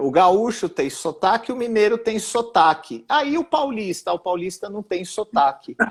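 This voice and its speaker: Speaking at a fairly slow pace with hardly any pauses, a man with a high pitch makes very wide pitch swings and big swings in loudness. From São Paulo, ABC region, Brazil. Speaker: university professor. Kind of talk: casual interview about politics and education. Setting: online live stream.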